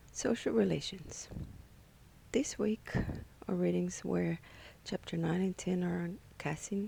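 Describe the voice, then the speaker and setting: A woman with a non-native accent speaks at a fairly slow pace, with long, frequent pauses. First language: not English. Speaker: graduate psychology student. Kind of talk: class presentation. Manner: slow and careful.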